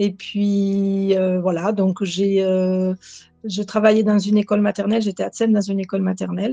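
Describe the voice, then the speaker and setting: Over music in the background, a woman speaks at a moderate pace and medium pitch in a flat monotone. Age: 60s. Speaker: retired school assistant, coaching client. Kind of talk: testimony. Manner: halting.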